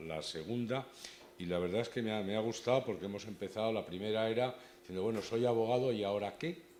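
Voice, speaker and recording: A man with an unremarkable speaking voice talks at a fairly quick pace, fairly low in pitch and with ordinary pitch variation. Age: 60s. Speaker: bar association board member presenting a talk. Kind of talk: event introduction.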